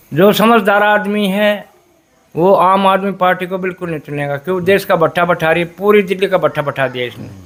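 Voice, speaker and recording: A man talks in a high pitch. The variation in his pitch is ordinary. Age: 60s. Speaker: retired bus transport worker. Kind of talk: street interview.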